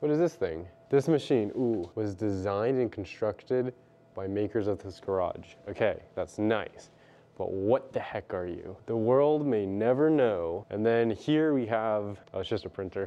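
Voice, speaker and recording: A man's speech moves fairly slowly, and his pitch shifts by an ordinary amount. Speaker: tech vlogger. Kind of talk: casual vlog chat. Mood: curious, excited. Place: workshop. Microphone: phone near.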